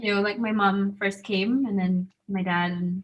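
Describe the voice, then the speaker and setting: In an American accent, a woman speaks at a medium pitch with fairly even intonation. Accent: in-between Zambian, American and Scottish. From Zambia. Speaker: student panelist. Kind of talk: panel discussion. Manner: casual, hesitant with fillers.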